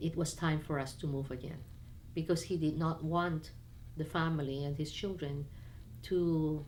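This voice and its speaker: The woman's voice is very deep and low, with fairly even intonation. She speaks at a fairly slow pace amid audible room echo. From Peru, Lima, to Chinese parents. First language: Spanish and Chinese. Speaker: businesswoman. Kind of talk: personal interview. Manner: halting, frequent restarts.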